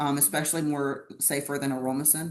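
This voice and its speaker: Her very deep, low pitch moves along at a fairly quick pace as the woman speaks. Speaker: bodybuilding podcast host. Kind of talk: casual chat.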